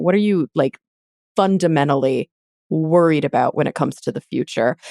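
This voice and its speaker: Her intonation lively and her pitch fairly low, a woman speaks at a moderate pace with an American accent. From Texas. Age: 30s. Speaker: podcast host. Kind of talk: interview. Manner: halting, many fillers.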